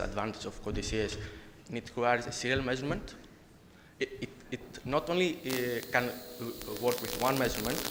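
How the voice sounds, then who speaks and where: Over noticeable background noise and audible room echo, a man talks at a fairly quick pace, medium pitch and ordinary pitch variation. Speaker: conference presenter, researcher. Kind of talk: conference presentation and Q&A. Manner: halting, many fillers.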